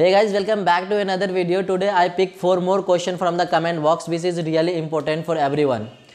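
With noticeable background noise behind him, a man talks at a very fast pace with high pitch and fairly even intonation. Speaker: YouTuber giving cruise job advice. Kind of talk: casual Q&A vlog.

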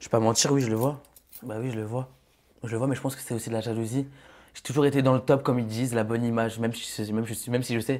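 Very fast delivery in a monotone, flat intonation, with big swings in loudness and long, frequent pauses. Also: man, medium pitch for a man. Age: 20s. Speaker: reality TV contestant. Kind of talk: casual chat. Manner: halting. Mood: candid, a bit defensive. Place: studio. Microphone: lapel.

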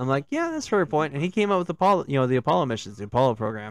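The man's intonation is lively. The sound is dry with no echo, over a quiet background. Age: 40s. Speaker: gaming stream host. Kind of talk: casual chat. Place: home room. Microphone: studio mic.

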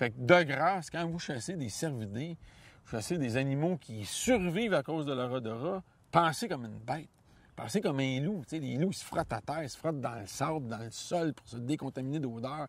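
A man with a Quebec accent, fairly high pitch, lively intonation, big swings in loudness and a moderate pace, in dry sound with no echo. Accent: Québécois French. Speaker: hunting guide and outdoor columnist; hunting guide. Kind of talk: interview. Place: forest. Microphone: lapel.

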